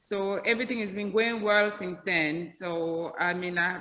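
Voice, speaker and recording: A woman's medium-pitched voice, bright and sharp in tone, with ordinary pitch variation. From Cameroon. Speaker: hair salon owner. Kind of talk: interview.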